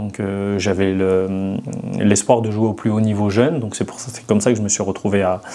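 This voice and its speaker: With big swings in loudness, a man of fairly low pitch speaks in fairly even intonation amid noticeable background noise. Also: moderate pace. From France, Ain (Oyonnax area). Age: 30s. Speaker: former pro footballer, coach. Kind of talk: podcast interview.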